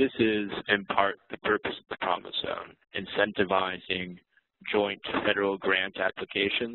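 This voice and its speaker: A man in an American accent, fairly low in pitch, monotone and flat in intonation, with big swings in loudness. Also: moderate pace. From Oakland, California. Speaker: community development coordinator. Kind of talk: webinar presentation.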